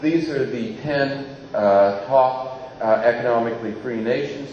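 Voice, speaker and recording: A man's speech comes through audible room echo and noticeable background noise. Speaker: think tank researcher giving a talk. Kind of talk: lecture. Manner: hesitant, many filler words.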